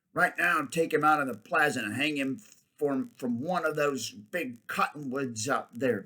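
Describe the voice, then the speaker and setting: A raspy, put-on character voice from a man, fairly high in pitch, at a moderate pace. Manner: hesitant, stumbling.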